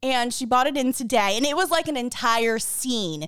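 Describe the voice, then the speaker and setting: In an American accent, a woman speaks loudly at a fairly high pitch and a moderate pace. The recording is very clean with a silent background. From the Bronx, New York. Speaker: podcast co-host. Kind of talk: casual chat.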